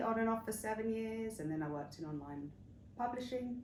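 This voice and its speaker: There is audible room echo as the woman talks, her pitch varying in an ordinary way. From England, northwest London / Hertfordshire. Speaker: interview guest, wellness retreat founder. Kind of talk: interview. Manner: hesitant, many fillers.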